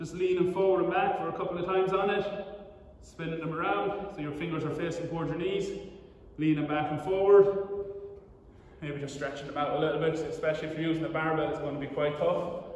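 Audible room echo surrounds a man with a high pitch. He talks at a fairly quick pace with fairly even intonation. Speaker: fitness coach. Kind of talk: tutorial. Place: gym. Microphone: camera far.

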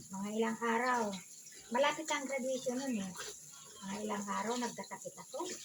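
Audible room echo surrounds a woman with a fairly high pitch. She speaks at a moderate pace with ordinary pitch variation and long, frequent pauses. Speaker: vlogger. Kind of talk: casual vlog chat while doing chores. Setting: at home washing dishes.

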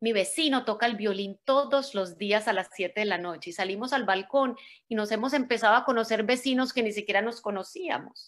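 A woman at fairly high pitch with ordinary pitch variation, talking at a fairly quick pace with hardly any pauses over a quiet background. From Colombia, Medellín. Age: 40s. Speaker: motivational speaker. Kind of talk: motivational talk. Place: home room. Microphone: video call.

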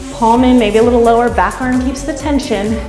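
A high-pitched woman's voice at a moderate pace, with clear music in the background. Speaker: fitness instructor. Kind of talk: workout instruction. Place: home room.

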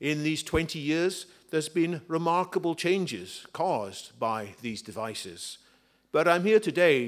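Over a quiet background, a man with a fairly high pitch talks at a fairly slow pace with lively intonation. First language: English (speaking Spanish). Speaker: author and futurist. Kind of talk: book presentation talk. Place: hall. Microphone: podium.

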